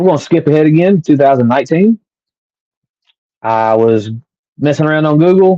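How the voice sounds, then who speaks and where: A man with an American accent talks at a fairly quick pace, with lively intonation, long and frequent pauses, and a fairly high pitch. His tone is dark and mellow, his loudness very even, and the sound dry and close with no echo. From US South. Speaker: podcast host and author. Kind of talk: personal storytelling monologue.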